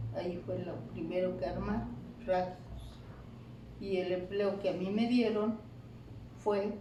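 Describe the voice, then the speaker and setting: With noticeable background noise and audible room echo, a woman of medium pitch speaks at a very slow pace. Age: 90s. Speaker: elderly local resident. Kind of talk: casual interview.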